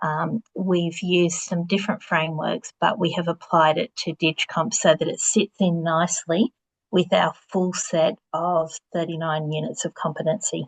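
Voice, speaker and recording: A somewhat breathy, fairly low-pitched woman with an Australian accent, fairly even intonation and a moderate pace, in a dry, close sound with no echo. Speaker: vocational education presenter. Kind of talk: webinar presentation.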